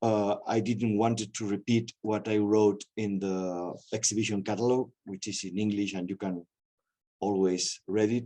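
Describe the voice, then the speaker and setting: The delivery is fairly slow and monotone, with flat intonation. The tone is dark and mellow, in a Spanish accent. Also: man, fairly low pitch for a man, quiet background. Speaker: museum director. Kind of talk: lecture. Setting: video call. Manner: halting.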